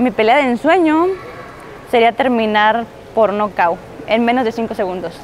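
A woman speaks with a dry sound and no echo. There is light background noise. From Mexico, Tijuana; Mexico. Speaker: MMA fighter. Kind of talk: interview answers. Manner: casual, with fillers and repetitions. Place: studio. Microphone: lapel.

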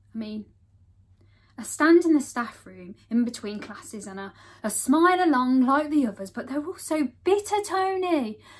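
Through noticeable background noise, a woman with a high pitch speaks at a moderate pace, her pitch swinging very widely and her loudness shifting a great deal. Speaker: actor. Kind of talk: dramatic monologue performance. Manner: breathless, mounting desperation; bitter, exasperated venting.

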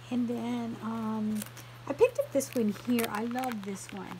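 A woman speaks slowly at a fairly high pitch with a dark, mellow tone and fairly even intonation. Faint noise sits in the background.

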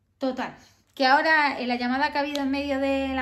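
A woman talks at a very fast pace with audible room echo. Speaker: vlogger. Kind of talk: casual vlog talk. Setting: at home.

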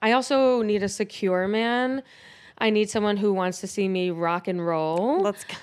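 With an animated tone, a woman talks at a moderate pace and ordinary pitch variation over a quiet background. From Buffalo, New York; New York. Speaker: comedian. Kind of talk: casual chat. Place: studio. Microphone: handheld.

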